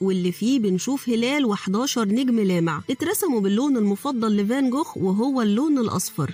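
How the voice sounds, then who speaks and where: Music plays in the background as a woman speaks in an Egyptian accent. Her pitch is fairly high, her intonation lively and her pace moderate. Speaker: voice-over artist. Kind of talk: educational documentary narration.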